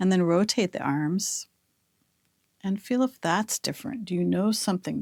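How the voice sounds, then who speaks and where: A woman speaks with lively intonation in a very clean recording with a silent background and a dry, close sound with no echo. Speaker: movement therapy teacher. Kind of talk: guided movement lesson. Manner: slow; soft-spoken.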